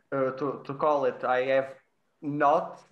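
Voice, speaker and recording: A man with a Portuguese accent, at a fairly slow pace. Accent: Portuguese accent, trouble with the I sound. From Portugal. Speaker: podcast host, virtual photographer. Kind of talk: casual roundtable chat. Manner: halting, repeats words.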